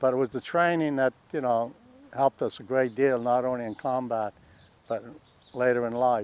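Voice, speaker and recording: Here a man at medium pitch keeps fairly even intonation, with long, frequent pauses. The sound is dry and close with no echo. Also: moderate pace. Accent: Boston. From Boston. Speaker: war veteran. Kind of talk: oral history interview. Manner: halting.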